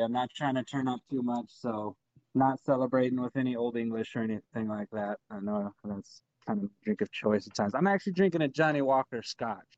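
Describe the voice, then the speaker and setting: A man with an American accent, medium pitch, and a fairly quick pace, ordinary pitch variation, an unremarkable speaking voice, dry, close sound with no echo. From Texas. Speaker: podcast co-host. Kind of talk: casual chat.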